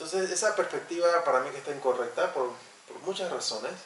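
Talking at a very fast pace, a man with a fairly high pitch and ordinary pitch variation is heard over noticeable background noise and audible room echo. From Panama. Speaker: sociologist. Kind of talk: interview.

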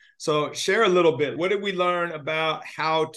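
Ordinary pitch variation and a moderate pace in a normal speaking voice. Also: man. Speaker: podcast host. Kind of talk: interview.

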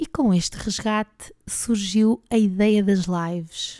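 In a very clean recording with a silent background, a woman with a European Portuguese accent speaks in a dark, mellow tone with ordinary pitch variation. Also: dry, close sound with no echo. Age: 40s. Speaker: podcast host and PE teacher. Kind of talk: personal monologue.

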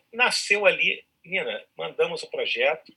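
A man is talking. His pace is moderate. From Rio de Janeiro, Ilha do Governador. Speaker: actor. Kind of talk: casual chat.

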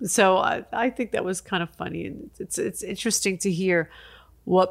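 A woman with an ordinary speaking voice, medium pitch, and moderate pace, on a very clean recording with a silent background. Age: 50s. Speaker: podcast host. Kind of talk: casual chat.

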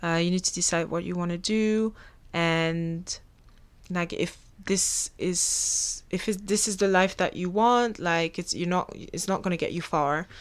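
On a very clean recording with a silent background, a woman with a French accent speaks at a medium pitch and a fairly slow pace, her intonation fairly even. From Belgium. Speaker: podcast host. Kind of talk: solo podcast monologue. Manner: casual, chatty.

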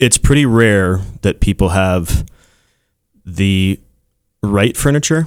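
Speaking with an American accent, a man uses lively intonation and fairly low pitch. His pace is very slow, with long, frequent pauses. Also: dry, close sound with no echo. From Colorado, Castle Rock. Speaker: real estate agent. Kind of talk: radio interview. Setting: studio.

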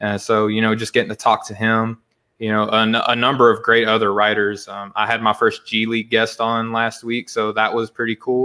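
In a Southern US accent, a man talks at a fairly quick pace with hardly any pauses. His medium-pitched voice has a monotone, flat intonation. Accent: Southern US, noticeable. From Arkansas, US South. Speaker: podcaster and sports site founder. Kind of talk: casual podcast conversation.

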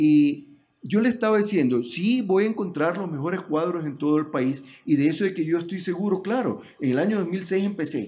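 High-pitched for a man, his voice carries lively intonation at a moderate pace. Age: 60s. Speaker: presidential candidate. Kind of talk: political interview.

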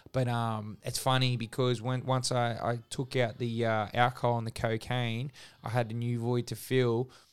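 A man with an Australian accent, monotone and flat in intonation at a moderate pace, on a very clean recording with a silent background. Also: medium pitch for a man. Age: 30s. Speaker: gym owner. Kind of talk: casual interview, personal story.

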